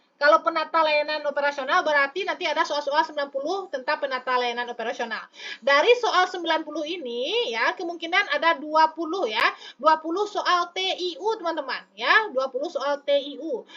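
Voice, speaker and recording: A woman speaks in a raised, projected voice at an extremely high pitch and a fairly quick pace, with hardly any pauses. Noticeable background noise can be heard. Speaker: online exam-prep tutor. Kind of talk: live stream tutorial answering chat. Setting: live stream. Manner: lively, chatty with many fillers.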